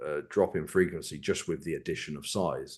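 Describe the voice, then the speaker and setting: Over a quiet background, a man with an English accent talks at a moderate pace in a very deep, low pitch. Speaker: bodybuilding coach. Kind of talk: podcast interview.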